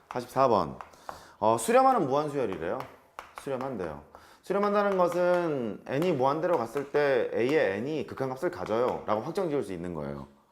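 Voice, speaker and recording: With audible room echo around him, a man speaks at a fairly high pitch, his voice swinging very widely in pitch. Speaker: math teacher. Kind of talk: lecture. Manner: fast.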